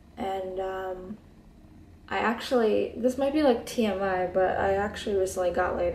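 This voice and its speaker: A woman's relaxed, fairly slow delivery in a room with audible echo. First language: Hebrew. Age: 20s. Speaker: beauty vlogger. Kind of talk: casual chat. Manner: relaxed, laid back.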